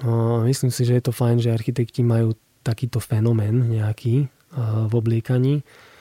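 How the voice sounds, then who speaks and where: A man with an eastern Slovak accent speaks at medium pitch and moderate pace, his dark, mellow tone somewhat breathy and his intonation monotone and flat. The sound is dry and close with no echo, and his loudness stays very even. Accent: eastern Slovak (Košice). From Slovakia, Košice. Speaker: architect. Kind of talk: casual interview. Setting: radio studio.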